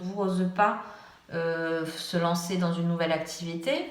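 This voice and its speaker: Audible room echo colors this woman's voice. There is also noticeable background noise. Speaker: tarot reader. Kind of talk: tarot reading. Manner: hesitant.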